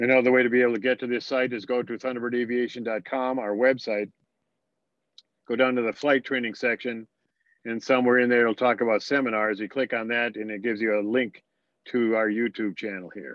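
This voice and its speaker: The man talks at a fairly quick pace. His medium pitch stays monotone, with flat intonation. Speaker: flight instructor. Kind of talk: lecture. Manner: fast; halting.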